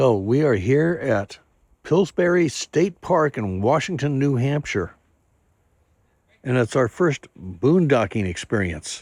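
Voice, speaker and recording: A man at a medium pitch with very wide pitch swings and a very slow pace, in a dry, close sound with no echo on a very clean recording with a silent background. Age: 60s. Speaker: RV travel vlogger. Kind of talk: casual vlog narration.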